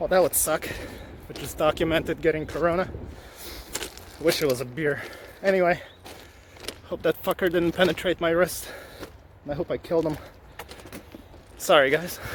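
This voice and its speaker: A man with a high-pitched voice speaks at a moderate pace in a relaxed tone, his intonation fairly even, with long, frequent pauses and noticeable background noise. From Ukraine, moved to Canada as a child. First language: Ukrainian or Russian. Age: 40s. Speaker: vlogger and collector. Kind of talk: casual vlog monologue. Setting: outdoors, walking. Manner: relaxed, halting with many fillers.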